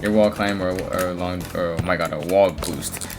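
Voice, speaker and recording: A man's voice over music in the background. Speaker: gaming tutorial creator. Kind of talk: tutorial. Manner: halting, stuttering; casual, slangy.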